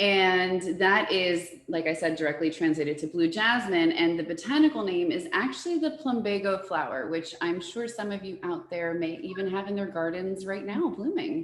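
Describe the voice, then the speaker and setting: Animated, enthusiastic delivery with lively intonation and hardly any pauses, over noticeable background noise. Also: woman, medium pitch for a woman, moderate pace. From born in US to Uruguayan parents, Spanish-speaking home. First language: Spanish. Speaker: floral designer. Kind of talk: presentation interview.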